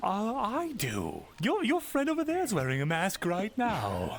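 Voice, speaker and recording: A man's put-on character voice, high-pitched, at a moderate pace over clear background noise. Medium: actual play. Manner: glib, theatrical.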